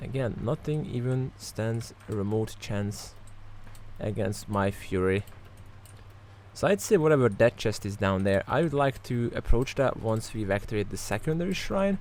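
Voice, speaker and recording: A man with an animated tone, medium pitch, ordinary pitch variation and a moderate pace. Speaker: gaming YouTuber. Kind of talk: let's play commentary. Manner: casual, animated.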